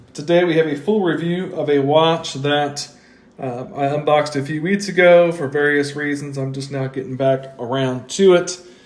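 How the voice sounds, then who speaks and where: A man's fairly high voice at a moderate pace with fairly even intonation, over noticeable background noise. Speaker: watch reviewer. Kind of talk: product review. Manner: casual with frequent fillers.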